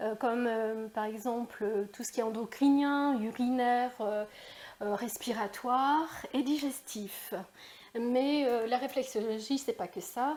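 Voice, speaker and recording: A woman at a very slow pace, high in pitch, with fairly even intonation. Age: 60s. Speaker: reflexologist and energy healer. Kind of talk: interview. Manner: hesitant, many fillers.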